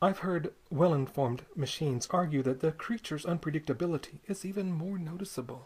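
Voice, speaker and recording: The voice is soft-spoken. The pace is moderate. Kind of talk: poetry reading. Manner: soft, quiet.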